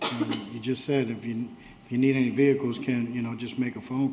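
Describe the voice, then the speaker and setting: A man at medium pitch in a monotone, flat delivery and a fairly quick pace, with audible room echo and noticeable background noise. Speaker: council member. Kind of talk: council meeting discussion. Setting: council chambers. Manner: too quiet for the room.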